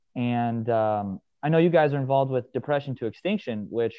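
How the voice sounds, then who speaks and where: A man with an American accent, a normal speaking voice, medium pitch, ordinary pitch variation and a moderate pace. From Nebraska, US Midwest. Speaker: gym owner and strength coach. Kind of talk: podcast interview.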